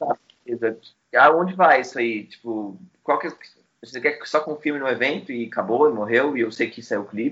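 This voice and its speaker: A man speaks at a medium pitch and a moderate pace, with ordinary pitch variation. His loudness swings widely, and he leaves long, frequent pauses. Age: 20s. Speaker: music journalist and publicist. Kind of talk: casual interview.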